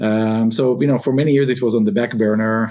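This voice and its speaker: This man has a fairly low pitch and a dark, mellow tone. He speaks at a moderate pace. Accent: Israeli. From Israel. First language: Hebrew. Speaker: robotics company founder. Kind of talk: interview. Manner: many fillers (uh, um, you know).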